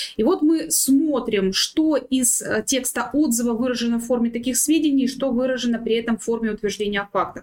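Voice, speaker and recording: Here a woman talks in a high pitch. Her pace is moderate and her pitch variation ordinary. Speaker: head of legal department. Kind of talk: panel discussion. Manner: formal.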